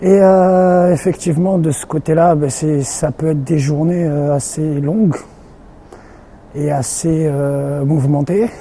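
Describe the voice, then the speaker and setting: The speech moves at a very slow pace with fairly even intonation amid noticeable background noise. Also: man. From France, Limoges. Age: 30s. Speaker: sports team equipment and logistics manager. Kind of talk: interview. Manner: halting, many fillers and repetitions.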